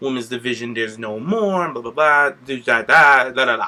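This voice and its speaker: A man speaks at a fairly quick pace with ordinary pitch variation. Noticeable background noise is audible. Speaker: podcast host. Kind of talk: casual chat. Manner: animated.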